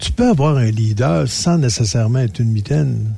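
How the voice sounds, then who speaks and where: Noticeable background noise beneath very wide swings in pitch. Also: man. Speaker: radio columnist, former chef. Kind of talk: casual chat.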